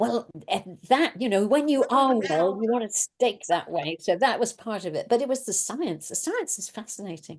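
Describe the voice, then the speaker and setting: A woman with an English accent speaks at a moderate pace with hardly any pauses. Her fairly high pitch moves in very wide swings. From England. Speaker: guest nurse. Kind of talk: casual interview chat on video call.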